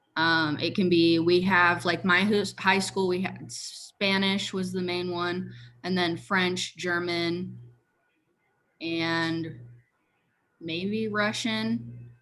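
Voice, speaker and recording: Very slowly, a woman speaks in an American accent with a bright, sharp tone and fairly low pitch. Her pitch varies in an ordinary way, and audible room echo is present. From Washington State, US. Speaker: education student. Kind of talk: casual chat. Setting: video call.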